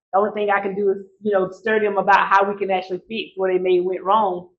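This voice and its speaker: This woman speaks with an Alabama accent at a medium pitch. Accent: Southern US (Alabama). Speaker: credit educator, nonprofit CEO, former bank manager. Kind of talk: workshop presentation. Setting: live event with audience. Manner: fast.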